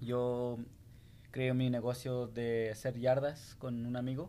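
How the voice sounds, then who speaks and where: This is a man's voice. He speaks at a very slow pace. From Salt Lake City, Utah (born in Guanajuato, Mexico). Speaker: graffiti artist and business owner. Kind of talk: interview. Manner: hesitant, many fillers. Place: studio. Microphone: studio mic.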